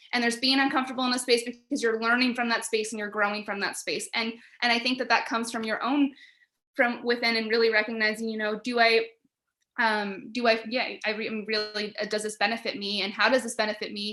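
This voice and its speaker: A loud woman's voice, fairly high and bright and sharp in tone, at a very fast pace with monotone, flat intonation over a quiet background. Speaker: panelist. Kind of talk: panel discussion. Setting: video call.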